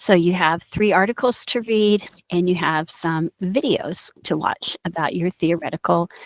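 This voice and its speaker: With an American accent, a woman speaks at a fairly slow pace with hardly any pauses and a fairly low pitch. The recording is dry and close, with no echo. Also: ordinary pitch variation. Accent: Indiana accent, noticeable at times. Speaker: university instructor. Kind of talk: recorded lecture. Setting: screen-share recording.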